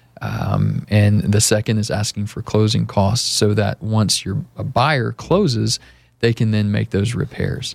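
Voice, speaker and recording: A man speaks at a fairly low pitch and a fairly slow pace. His intonation stays fairly even over noticeable background noise. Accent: American. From Austin, Texas. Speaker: real estate agent. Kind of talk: radio interview. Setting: radio studio.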